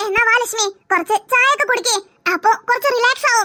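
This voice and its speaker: An extremely high-pitched cartoonish character voice at a fairly quick pace. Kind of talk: cartoon character voices.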